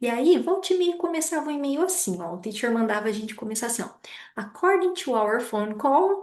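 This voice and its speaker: At a fairly quick pace, a woman speaks in a high pitch with very wide pitch swings. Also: quiet background. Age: 30s. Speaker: lecturer. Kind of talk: lecture.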